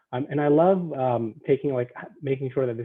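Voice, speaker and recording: A man is speaking. His pace is very fast. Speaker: academic advisor, former teacher. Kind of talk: presentation to students. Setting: video call.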